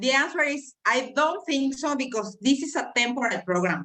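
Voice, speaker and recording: Lively intonation marks this woman's speech in a Mexican accent. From Mexico. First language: Spanish. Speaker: immigration specialist. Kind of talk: presentation on a video call.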